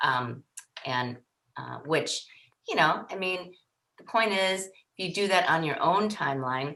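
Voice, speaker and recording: An American accent, a bright, sharp tone and lively intonation at a fairly slow pace with long, frequent pauses. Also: woman, fairly low pitch for a woman. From Wisconsin. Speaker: newspaper founder and former reporter. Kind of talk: casual interview. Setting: podcast. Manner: loud.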